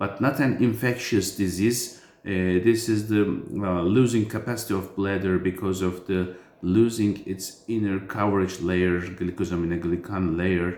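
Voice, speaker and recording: With a non-native accent, a man speaks at a moderate pace in a very deep, low pitch and a fairly even intonation. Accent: foreign accent in English. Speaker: urologist. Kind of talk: medical explainer. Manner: halting, many fillers.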